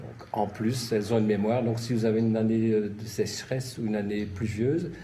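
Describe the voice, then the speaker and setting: Speaking at a moderate pace, a man with a medium pitch and a dark, mellow tone sounds somewhat breathy, with fairly even intonation and audible room echo. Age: 60s. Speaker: nurse and gardening enthusiast. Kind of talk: interview. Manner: halting.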